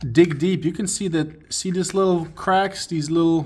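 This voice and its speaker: With a German accent, a man speaks at a fairly slow pace and with fairly even intonation. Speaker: car mechanic. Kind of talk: tutorial. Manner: halting, with fillers.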